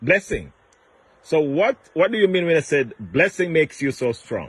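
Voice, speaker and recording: The voice here is an ordinary speaking voice. Its speed is moderate. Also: man, fairly high pitch for a man, lively intonation. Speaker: interviewer. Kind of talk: casual interview questions.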